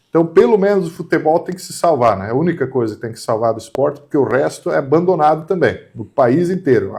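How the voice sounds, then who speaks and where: Dark and mellow in tone with vocal fry, the voice races at a very fast pace with hardly any pauses. Its intonation is lively and its loudness swings widely. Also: man, fairly high pitch for a man. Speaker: channel host. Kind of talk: casual opinion discussion.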